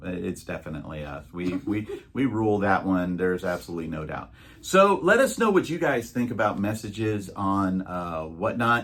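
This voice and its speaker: A man with an ordinary speaking voice talks at a moderate pace in a fairly low pitch with ordinary pitch variation. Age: 60s. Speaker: YouTube reseller channel co-host. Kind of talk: casual chat.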